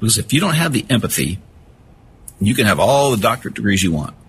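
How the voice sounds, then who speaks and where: Vocal fry runs through a man's fairly low voice. He speaks at a very fast pace. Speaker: retired police officer and suicide prevention speaker. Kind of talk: interview. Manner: naturally fast talker.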